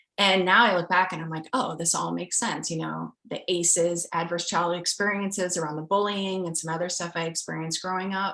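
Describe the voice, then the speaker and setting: With a Midwestern American accent, a woman speaks fairly quickly in a fairly low, monotone voice with flat intonation and hardly any pauses. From rural US Midwest. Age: 30s. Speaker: scientist. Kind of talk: interview.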